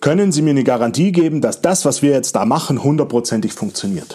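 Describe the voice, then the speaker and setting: The man's delivery comes at a fairly quick pace, and his intonation is lively. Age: 40s. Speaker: podcast host and digital agency owner. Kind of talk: solo podcast monologue.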